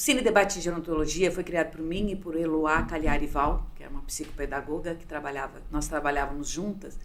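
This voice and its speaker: Woman's fairly quick speech with hardly any pauses, ordinary pitch variation, big swings in loudness and audible room echo. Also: fairly low pitch for a woman. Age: 60s. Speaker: sociologist and gerontologist. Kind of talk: interview. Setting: studio.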